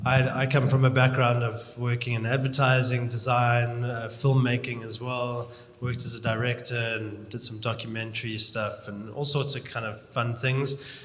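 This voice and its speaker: Noticeable background noise and audible room echo surround a man at medium pitch. He talks at a moderate pace in a monotone, flat intonation with hardly any pauses. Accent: South African. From South Africa. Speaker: chief creative officer. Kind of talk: panel discussion.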